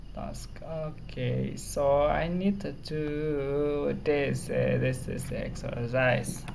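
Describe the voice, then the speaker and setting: The speaker has an Indonesian accent and talks at a very slow pace with hardly any pauses. Noticeable background noise is present. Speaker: programming tutor. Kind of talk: tutorial. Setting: home recording.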